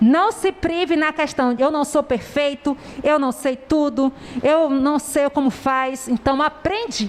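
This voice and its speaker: A high-pitched woman at a fairly slow pace, ordinary pitch variation, noticeable background noise. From southern Bahia, Brazil. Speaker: preacher. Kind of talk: sermon.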